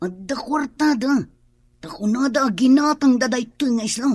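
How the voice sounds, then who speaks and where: The speaker puts on a character voice pitched fairly high. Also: moderate pace. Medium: old radio play. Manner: worried.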